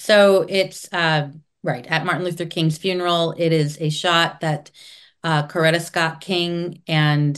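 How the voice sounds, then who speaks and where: A woman speaks at a fairly low pitch with fairly even intonation, an unremarkable speaking voice. The background is quiet. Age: 50s. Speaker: curator and former mayor. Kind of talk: casual interview.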